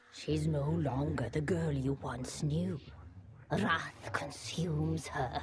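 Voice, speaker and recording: A put-on character voice, low in pitch, moves very slowly with very wide pitch swings. Clear background noise sits behind it. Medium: video game. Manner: measured, commanding.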